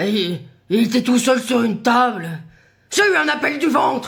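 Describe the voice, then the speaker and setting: A raspy, fairly high-pitched put-on character voice at a moderate pace. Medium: voice reel. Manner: evasive, blustering.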